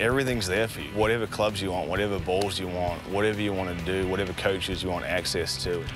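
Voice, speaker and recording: Music plays in the background as a man speaks. His pitch is very deep and low, with fairly even intonation. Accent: American. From Auckland, New Zealand. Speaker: college golfer. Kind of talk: interview answer.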